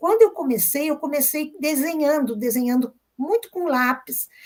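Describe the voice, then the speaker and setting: A woman speaks at a fairly slow pace. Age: 60s. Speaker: visual artist. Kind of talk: interview.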